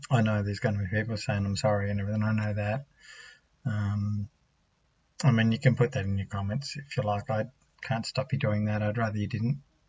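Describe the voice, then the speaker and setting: Speaking at a fairly quick pace with an Australian accent, a man uses a fairly low, somewhat breathy voice and fairly even intonation, broken by long, frequent pauses. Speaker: vlogger. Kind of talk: personal testimony. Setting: home at night. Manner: soft-spoken; halting. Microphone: laptop mic.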